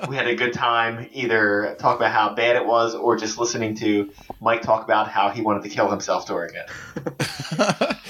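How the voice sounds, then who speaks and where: With hardly any pauses, a man talks at a moderate pace in a medium pitch and fairly even intonation, over noticeable background noise. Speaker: podcast guest. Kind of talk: casual comedic podcast chat.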